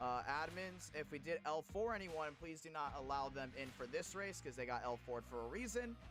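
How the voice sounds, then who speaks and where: Over music in the background, a man with a fairly high pitch talks at a moderate pace with lively intonation and hardly any pauses. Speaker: sim racing league streamer and commentator. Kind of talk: live race commentary on a stream. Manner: energetic, hype.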